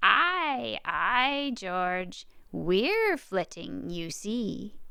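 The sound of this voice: A woman's shrill, put-on character voice of medium pitch, at a very slow pace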